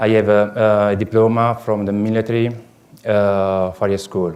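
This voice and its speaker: A man with an Italian accent speaks at a fairly slow pace and a fairly low pitch, his intonation monotone and flat. Audible room echo surrounds his voice. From southern Italy, Puglia. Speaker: farrier. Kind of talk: lecture. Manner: halting, many fillers.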